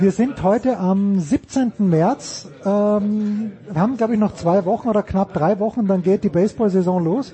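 A man speaks with a high pitch and ordinary pitch variation at a fairly slow pace. He keeps his loudness very even and leaves hardly any pauses. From Austria. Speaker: sports podcast host. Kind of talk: casual chat. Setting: stadium.

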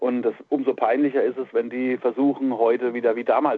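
A man speaks in an unremarkable speaking voice, keeping a medium pitch and fairly even intonation at a moderate pace. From Palatinate, Germany. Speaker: metal musician and music journalist. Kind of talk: casual interview chat.

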